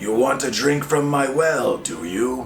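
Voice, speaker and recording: Using a put-on character voice, a man sounds raspy at a medium pitch. He speaks at a fairly slow pace, with clear background noise behind him. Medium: read story. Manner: growling, gruff.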